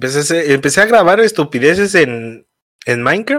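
In a Mexico City accent, a man speaks at a moderate pace with a fairly high pitch. His intonation is lively. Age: 20s. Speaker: streamer. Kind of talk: casual chat.

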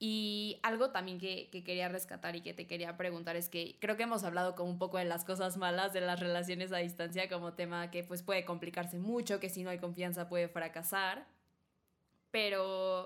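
A woman's fairly low voice in a monotone, flat intonation, on a very clean recording with a silent background. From Mexico. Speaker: podcast host. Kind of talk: casual chat.

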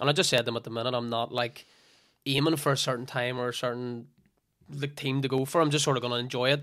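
In a Northern Irish accent, a man talks very fast with monotone, flat intonation. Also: medium pitch for a man, very clean recording, silent background. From Northern Ireland. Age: 20s. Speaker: fitness coach and former footballer. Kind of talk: casual chat.

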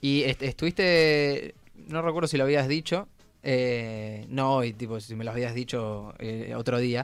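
A normal speaking voice from a man, mid-range in pitch, with typical pitch movement. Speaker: radio host. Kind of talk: casual chat.

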